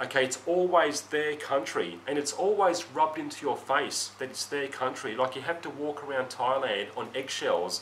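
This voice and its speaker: Against noticeable background noise, a man with a fairly high pitch speaks at a moderate pace with lively intonation. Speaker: Western expat living in Thailand. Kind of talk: casual talk to camera. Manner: unedited, with stutters and coughs.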